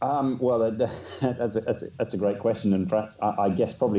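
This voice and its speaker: A man with an English accent speaks at a fairly low pitch in a dark, mellow tone. His pace is fairly quick, with ordinary pitch variation. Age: 50s. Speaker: business consultant. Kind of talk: casual interview. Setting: video call.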